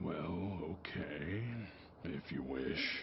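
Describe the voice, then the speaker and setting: A man puts on a character voice at a very deep, low pitch over loud background noise. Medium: machinima. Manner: smooth, evasive, self-serving.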